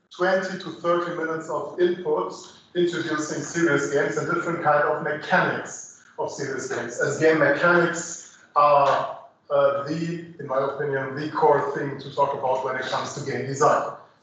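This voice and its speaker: Noticeable background noise and audible room echo surround a man at a moderate pace. His fairly high pitch holds fairly even intonation. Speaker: lecturer on game design. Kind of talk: lecture. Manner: hesitant with many fillers.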